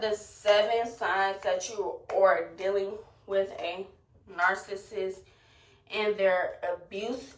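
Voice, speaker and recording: In monotone, flat intonation, a woman speaks at a very slow pace and medium pitch. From Gary, Indiana. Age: 20s. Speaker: beauty and lifestyle content creator. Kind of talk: storytime talk to camera.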